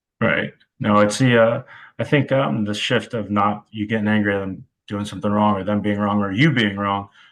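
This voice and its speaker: A man with an American accent speaks at a fairly low pitch. His intonation stays fairly even. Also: fairly quick pace. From US Midwest, Cleveland, Ohio area. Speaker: college football wide receivers coach. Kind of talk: podcast interview. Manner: dry, deadpan delivery.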